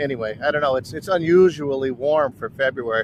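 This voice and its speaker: A man with a fairly high pitch speaks at a moderate pace with lively intonation. He has an ordinary speaking voice. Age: 60s. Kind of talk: casual talk to camera. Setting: outdoors.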